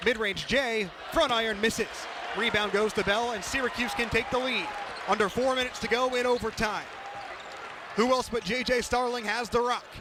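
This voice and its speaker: Against noticeable background noise, a man uses a raised, projected voice at an extremely high pitch, talking at a fairly quick pace with fairly even intonation and long, frequent pauses. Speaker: sports radio play-by-play announcer. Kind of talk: basketball play-by-play radio call. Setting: college radio broadcast.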